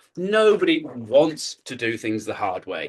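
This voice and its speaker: In a British accent, a man speaks at a fairly slow pace with an animated tone and very wide pitch swings. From UK. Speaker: keynote speaker. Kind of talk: conference talk. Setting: stage with audience.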